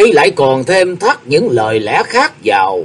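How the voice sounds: The voice heard here is a natural reading voice.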